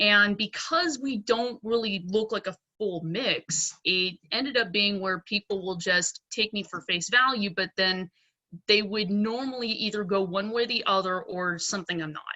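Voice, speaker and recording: With an American accent, a woman with an unremarkable speaking voice talks at a moderate pace and medium pitch, using ordinary pitch variation. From Pennsylvania, US. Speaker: dentist. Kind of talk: panel discussion. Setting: video call.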